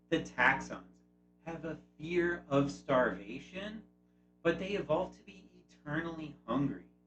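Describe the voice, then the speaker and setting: Over music in the background, a man talks at a fairly slow pace and fairly high pitch. His intonation is lively, and his loudness swings widely. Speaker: YouTube host. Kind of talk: video essay narration.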